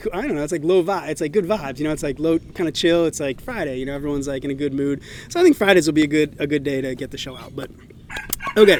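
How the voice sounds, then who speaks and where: Someone with an American accent talks at a very fast pace with big swings in loudness while background noise is noticeable. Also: man, fairly high pitch for a man, ordinary pitch variation. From New England, Massachusetts. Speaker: podcast host. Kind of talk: casual monologue. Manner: fast, filler-heavy.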